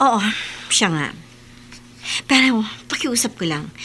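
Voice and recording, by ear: Slowly, a woman performs a put-on character voice with a bright, sharp tone and lively intonation. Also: fairly high pitch for a woman.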